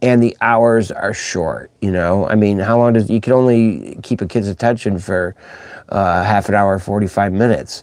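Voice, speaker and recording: A man speaks at a moderate pace with a fairly low pitch. His is an unremarkable speaking voice with fairly even intonation. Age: 60s. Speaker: children's musician and livestream host. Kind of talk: casual livestream chat. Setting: live stream. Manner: rambling, informal.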